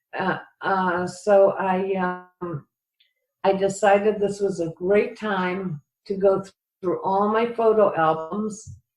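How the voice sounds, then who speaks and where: Music plays behind a woman with an American accent. Her delivery is very slow, with a monotone, flat intonation. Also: medium pitch for a woman. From US Midwest, Cleveland. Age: 70s. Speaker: retired writing professor and inventor. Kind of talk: interview. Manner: halting, many fillers.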